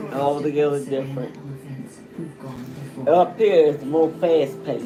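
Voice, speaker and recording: Over background music and audible room echo, a woman speaks fairly slowly at a very deep, low pitch with fairly even intonation. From US South. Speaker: grandmother. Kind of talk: casual family interview.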